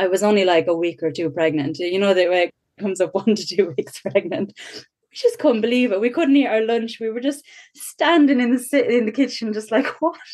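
A woman with an Irish Midlands accent, fairly high in pitch with very wide pitch swings, at a fairly quick pace. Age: 30s. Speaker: mother sharing birth story. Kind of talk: testimony.

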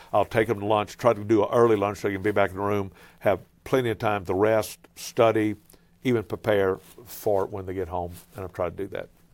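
Spoken in a Cajun accent with monotone, flat intonation, the voice comes through a very clean recording with a silent background. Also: man, fairly low pitch for a man, fairly quick pace. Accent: Cajun Louisiana English. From Louisiana (Cajun). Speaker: pastor and travelling preacher. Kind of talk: casual interview.

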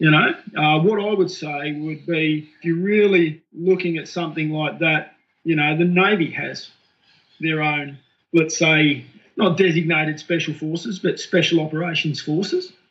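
In an Australian accent, a man talks with a fairly high pitch. His delivery is monotone and flat. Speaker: military veteran. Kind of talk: casual chat.

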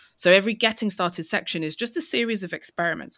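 The speaker has a London accent and talks at a very fast pace with ordinary pitch variation. The recording is very clean, with a silent background. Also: woman. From East London. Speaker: tech author. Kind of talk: interview.

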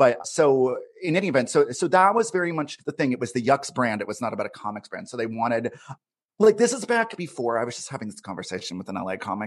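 Pitch swings very widely as a man of medium pitch talks at a very fast pace. His loudness also swings a lot. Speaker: comedian. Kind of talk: casual chat. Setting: video call.

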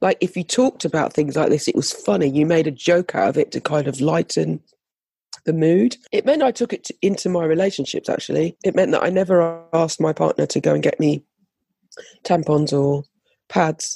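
A woman speaks in a British accent. The recording is dry and close, with no echo. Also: moderate pace. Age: 50s. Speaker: fashion designer and speaker. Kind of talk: interview about personal story. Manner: halting, with many fillers.

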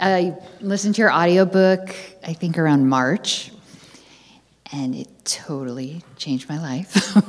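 Over noticeable background noise, a woman speaks at a fairly low pitch and fairly slow pace, with ordinary pitch variation, big swings in loudness, and long, frequent pauses. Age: 40s. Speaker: audience member asking a question. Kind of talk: live audience Q&A. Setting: stage with audience.

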